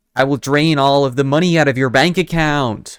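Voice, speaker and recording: A man's put-on character voice with an American accent, fairly high in pitch, at a moderate pace, on a very clean recording with a silent background. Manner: menacing.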